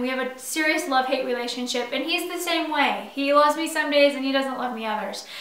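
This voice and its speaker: A woman uses a raised, projected voice pitched high. Audible room echo fills the space around her. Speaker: doula. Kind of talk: casual chat. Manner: casual, animated.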